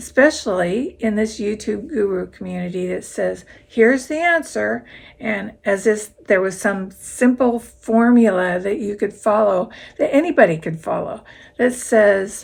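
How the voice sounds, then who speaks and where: At a fairly slow pace, a woman with a fairly high pitch and vocal fry speaks with lively intonation. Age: 70s. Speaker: YouTuber and full-time RVer. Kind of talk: talking-head vlog advice. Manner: conversational.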